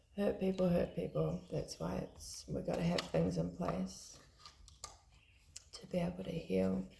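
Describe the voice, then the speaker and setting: A woman with a New Zealand accent at a fairly slow pace, with long, frequent pauses, big swings in loudness and noticeable background noise. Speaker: tarot card reader. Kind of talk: tarot reading, casual talk to camera.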